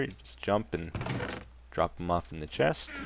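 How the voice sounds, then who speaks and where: A man speaks over noticeable background noise. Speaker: gaming video creator. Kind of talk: let's play commentary.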